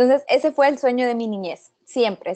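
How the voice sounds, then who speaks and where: A woman talks at a moderate pace in a high pitch with lively intonation. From Guatemala. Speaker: astrophysics PhD student. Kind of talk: webinar presentation.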